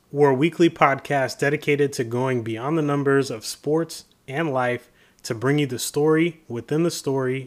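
On a very clean recording with a silent background, a man with an American accent talks at a moderate pace in an ordinary speaking voice with ordinary pitch variation. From Florida, Tampa. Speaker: sports podcast co-host. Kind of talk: casual chat; scripted outro.

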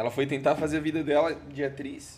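This is an unremarkable speaking voice from a man, pitched fairly high. He keeps a moderate pace. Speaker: guest's fiancé. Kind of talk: casual chat.

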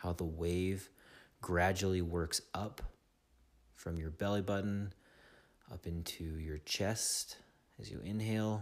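A soothing, calm tone at a very slow pace, with long, frequent pauses and fairly even intonation. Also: man, very deep, low pitch for a man, very clean recording, silent background. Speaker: meditation guide. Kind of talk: guided meditation. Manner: slow, soothing, calm instructional pacing with long pauses; gentle, directive, second-person coaching.

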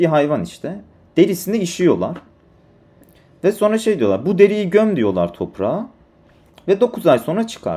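Long, frequent pauses break up this man's speech. His pitch is high, and his tone is dark and mellow. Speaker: solo podcaster. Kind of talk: solo monologue storytelling. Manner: slow, thoughtful; hesitant with fillers.

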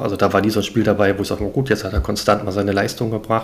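This man's voice sits fairly low and carries vocal fry. He talks at a very fast pace. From northern Germany, Hamburg. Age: 40s. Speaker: new podcast co-host, football fan. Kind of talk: casual chat.

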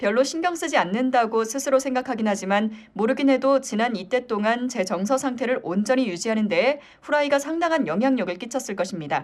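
A woman talks at a fairly quick pace with a high pitch and lively intonation. Her loudness stays very even. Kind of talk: casual chat with comment reading.

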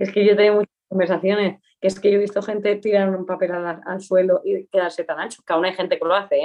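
Very fast, monotone, flat speech with hardly any pauses. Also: woman, medium pitch for a woman. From Aragon, Spain (Pyrenees, Huesca). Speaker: journalist. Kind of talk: casual interview chat. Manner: cheerful, laughing.

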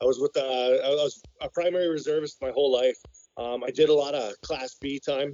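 An ordinary speaking voice from a man with a Canadian accent, fairly high in pitch, fairly even in intonation and fairly quick in pace. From Canada. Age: 40s. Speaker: military veteran, tool dealer. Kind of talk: interview conversation.

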